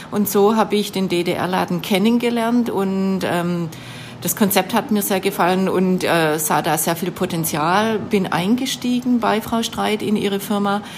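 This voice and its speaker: A woman at a medium pitch, fairly slow in pace, with ordinary pitch variation and noticeable background noise. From Baden-Württemberg, Swabia. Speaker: shop owner. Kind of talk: interview. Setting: in a shop.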